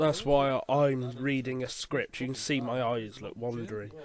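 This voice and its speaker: With noticeable background noise behind him, a man with an English accent talks at medium pitch and a fairly slow pace. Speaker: puppeteer and voice artist. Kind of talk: audio commentary. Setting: in a shed, headphones on. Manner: hesitant, many fillers.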